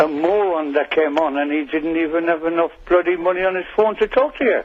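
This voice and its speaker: With an Irish accent, a man talks at a fairly quick pace, his high voice showing ordinary pitch variation. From Ireland. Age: 60s. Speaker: caller. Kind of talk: radio phone-in argument. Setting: phone call.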